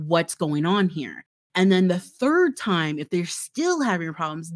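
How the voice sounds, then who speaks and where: A woman with an American accent speaks in a plain, everyday voice at medium pitch, with lively intonation. The sound is dry and close with no echo, on a very clean recording with a silent background. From Florida, US South. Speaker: marketing director. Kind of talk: interview.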